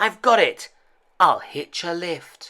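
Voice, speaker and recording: This put-on character voice sits at a fairly high pitch. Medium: read story.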